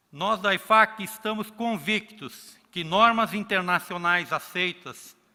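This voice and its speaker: With a Brazilian accent, a man speaks at a very slow pace in a raised, projected voice with a bright, sharp tone and ordinary pitch variation. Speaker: accounting regulator. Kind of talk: conference talk.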